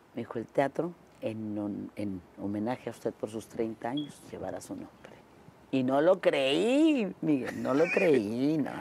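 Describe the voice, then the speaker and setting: A woman with a very deep, low pitch speaks at a fairly slow pace with lively intonation. Her loudness swings widely over noticeable background noise. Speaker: interview guest. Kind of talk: interview answer, storytelling. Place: studio. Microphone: lapel.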